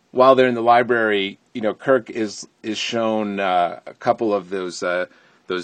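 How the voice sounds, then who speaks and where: A man with an American accent talks fairly slowly in a fairly low voice. His intonation stays fairly even against a quiet background. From Connecticut, US. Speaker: listener sending audio review. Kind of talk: recorded listener review. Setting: sitting in a closet.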